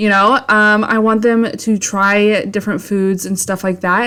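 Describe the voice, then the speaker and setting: A woman with an American accent speaks at a medium pitch in a monotone, with flat intonation. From US Midwest, Iowa. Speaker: homemaking vlogger. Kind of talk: casual voiceover narration. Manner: chatty, filler-heavy.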